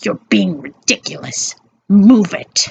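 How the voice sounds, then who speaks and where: The speaker uses a growling, put-on character voice at a middle pitch. The pace is fairly slow. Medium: read story. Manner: commanding, harsh.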